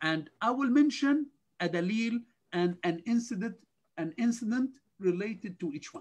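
With lively intonation, a man speaks at a high pitch. His pace is moderate.

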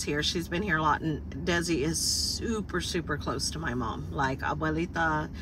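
Over noticeable background noise, a woman speaks fairly slowly with a dry sound and no echo. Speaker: vlogger. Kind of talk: casual vlog chat. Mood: warm, cheerful. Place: car. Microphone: phone near.

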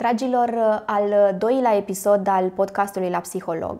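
Over a quiet background, a woman talks at a moderate pace in a dark, mellow tone with fairly even intonation. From Romania. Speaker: psychologist and podcast host; podcast host. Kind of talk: interview. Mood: warm, empathetic. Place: office. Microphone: lapel.

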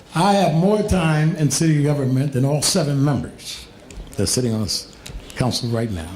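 Over noticeable background noise and audible room echo, a man speaks with lively intonation at a fairly high pitch. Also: long, frequent pauses. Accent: American. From Harrisburg, Pennsylvania, US. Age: 60s. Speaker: city council candidate, former city employee. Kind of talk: campaign closing statement. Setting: public debate with audience.

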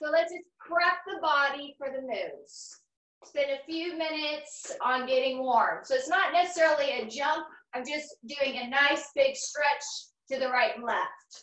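Against a quiet background with audible room echo, a woman speaks slowly-ish, at a fairly slow pace, in a high pitch, her tone bright and sharp and her pitch variation ordinary. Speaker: fitness instructor. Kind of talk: workout instruction. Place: gym. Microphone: camera far.

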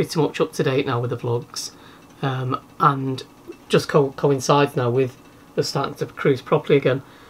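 A man talks at a moderate pace with fairly even intonation. His voice is somewhat breathy. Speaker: vlog co-host. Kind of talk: casual vlog chat. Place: boat. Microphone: camera far.

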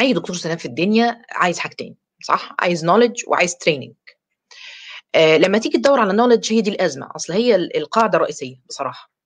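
Fairly quick speech from a woman with an Egyptian accent and very wide pitch swings, over a quiet background. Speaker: dentist and course lecturer; course lecturer. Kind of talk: online lecture. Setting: live stream. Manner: talkative. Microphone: webcam.

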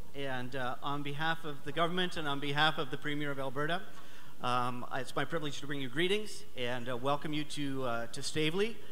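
At a fairly quick pace, a man speaks in a normal speaking voice with a fairly high pitch and ordinary pitch variation, over light background noise. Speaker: provincial government representative giving greetings. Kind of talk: welcome speech at a live event. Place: hall.

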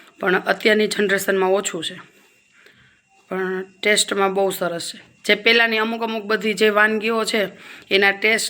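The loudness swings widely from moment to moment. The intonation stays flat and monotone throughout. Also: woman, medium pitch for a woman. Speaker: cooking video creator. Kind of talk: cooking tutorial. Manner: soft-spoken; casual, chatty.

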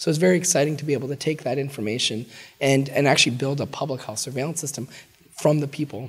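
Speaking very fast, a man has a somewhat breathy voice with ordinary pitch variation. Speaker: public health researcher, associate professor. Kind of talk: interview answer.

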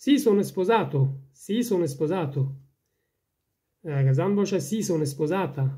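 Long, frequent pauses in an Afghan accent, on a very clean recording with a silent background. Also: fairly slow pace. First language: Dari (speaking Italian). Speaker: language teacher. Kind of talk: tutorial. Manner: slow, repeating each sentence.

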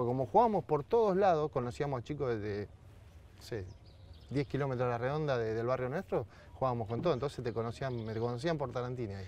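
Very fast and dark, mellow in tone, a man's voice comes through with a dry sound and no echo. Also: ordinary pitch variation. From Argentina, Berazategui (Greater Buenos Aires); Argentina. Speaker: retired footballer; TV guest. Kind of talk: casual interview chat. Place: garden. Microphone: lapel.

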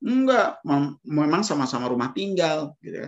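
A man speaks at a moderate pace with vocal fry and very wide pitch swings over a quiet background. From Indonesia. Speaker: financial planner. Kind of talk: webinar talk. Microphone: video call.

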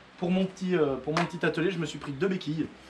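A man over loud background noise. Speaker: motorbike hobbyist vlogger. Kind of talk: casual vlog chat. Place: workshop. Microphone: camera far.

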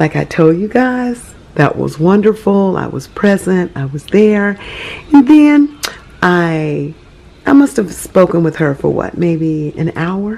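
Her tone dark and mellow, a woman speaks at a very slow pace with very wide pitch swings. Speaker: vlogger. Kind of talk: casual vlog chat. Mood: cheerful, upbeat.

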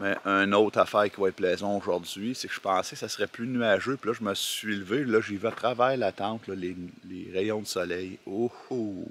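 A man with a Quebec accent speaks at a moderate pace and fairly low pitch, with fairly even intonation. The sound is dry with no echo, over light background noise. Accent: Québécois French. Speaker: hiker vlogger. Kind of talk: casual vlog narration. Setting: outdoors. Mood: relaxed, unhurried. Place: forest. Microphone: phone near.

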